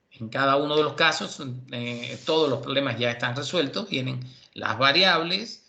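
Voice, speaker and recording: Audible room echo carries a man's bright, sharp tone at a fairly high pitch. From Cuba. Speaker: university lecturer. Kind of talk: lecture.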